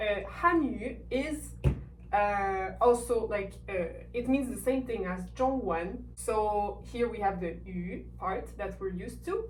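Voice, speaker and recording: In a French accent, a woman speaks at a very slow pace, with audible room echo around her voice. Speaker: language teacher. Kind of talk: tutorial.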